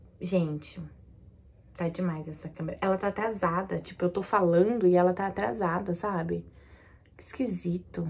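This somewhat breathy voice moves at a moderate pace. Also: woman. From Brazil. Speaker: YouTuber, new mother; YouTuber. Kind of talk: casual vlog talk to camera. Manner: animated. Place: home room. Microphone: phone near.

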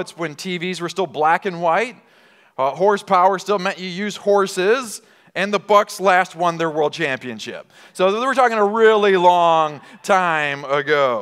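Fairly slow speech over a quiet background. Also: man. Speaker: pastor. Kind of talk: sermon. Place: church. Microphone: headset.

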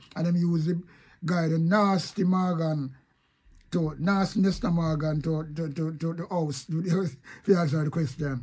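With a Jamaican accent, a man speaks high for a man, at a fairly slow pace, with fairly even intonation. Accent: Jamaican Patois. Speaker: online commentator. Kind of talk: casual video commentary.

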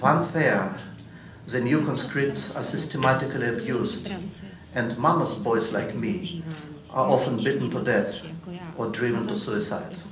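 A man with a Russian accent speaks at a fairly slow pace and medium pitch, with lively intonation and long, frequent pauses, over noticeable background noise. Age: 50s. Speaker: writer and journalist; conference panelist. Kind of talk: reading aloud. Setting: stage with audience. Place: hall. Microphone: podium.

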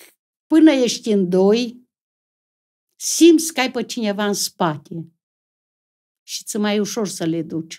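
With a Transylvanian accent, a woman speaks at a very slow pace with long, frequent pauses, a medium pitch with very wide pitch swings, big swings in loudness and a dark, mellow tone. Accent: rural Transylvanian Romanian. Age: old. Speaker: comedy sketch actress. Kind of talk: casual chat.

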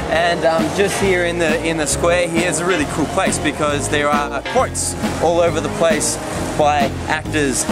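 Against loud music in the background, a man speaks at a moderate pace in a dry sound with no echo. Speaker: web-series host. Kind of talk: casual vlog chat. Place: street. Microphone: phone near.

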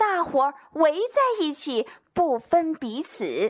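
Against a quiet background, a woman speaks at a very slow pace. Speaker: teacher. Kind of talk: educational lecture with poetry reading. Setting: home recording with voice recorder. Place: home room. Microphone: handheld.

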